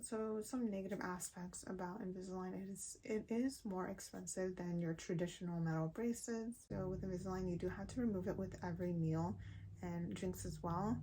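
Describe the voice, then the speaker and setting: A woman with a somewhat breathy voice, dark, mellow tone, medium pitch, ordinary pitch variation and moderate pace. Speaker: beauty and lifestyle vlogger. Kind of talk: casual vlog talk.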